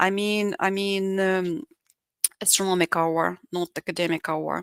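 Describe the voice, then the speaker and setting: Her voice medium in pitch with ordinary variation, a woman speaks with a non-native accent in a dry, close sound with no echo. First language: Russian. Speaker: English teacher. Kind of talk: online lecture. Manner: halting, many fillers.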